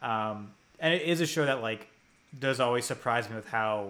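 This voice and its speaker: Speaking fairly quickly with an American accent, a man uses a normal speaking voice at medium pitch and ordinary pitch variation. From US, New Jersey. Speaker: podcast host and site editor. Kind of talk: casual chat.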